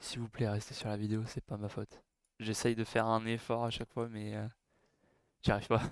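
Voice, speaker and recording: A man with a medium pitch speaks at a fairly quick pace in a monotone, flat intonation, leaving long, frequent pauses, and the sound is dry and close with no echo. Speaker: programming tutorial creator. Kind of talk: tutorial. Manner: halting, many fillers.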